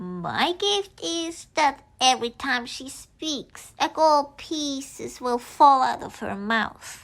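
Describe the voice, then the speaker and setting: Very slow and high-pitched, a female-sounding put-on character voice carries the clip. The recording is very clean, with a silent background. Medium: read story. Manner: warm, friendly.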